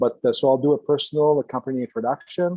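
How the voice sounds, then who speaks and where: A man with a Quebec accent, fairly high in pitch, at a moderate pace. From Quebec, Canada. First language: French. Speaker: engineer and entrepreneur. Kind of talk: lecture. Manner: halting, many fillers.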